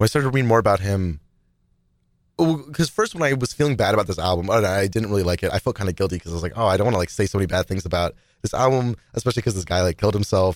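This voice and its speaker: In a very clean recording with a silent background, a man talks very fast in a fairly low pitch with lively intonation. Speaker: podcast co-host. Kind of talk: casual chat. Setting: studio.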